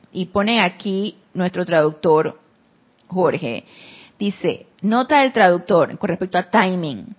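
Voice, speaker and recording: A woman speaks at a very slow pace. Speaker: spiritual teacher. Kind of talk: spiritual class. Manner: soft-spoken.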